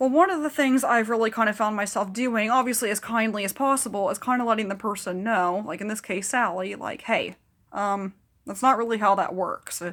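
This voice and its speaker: Animated in tone, a woman speaks at a fairly quick pace in a fairly high voice with ordinary pitch variation. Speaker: mental health vlogger. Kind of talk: casual chat. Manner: fast.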